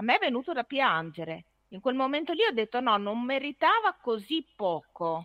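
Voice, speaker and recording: A high, bright, sharp female voice with very wide pitch swings at a moderate pace, dry and close with no echo, over a quiet background. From Ferrara, Emilia-Romagna. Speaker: author. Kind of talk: casual chat.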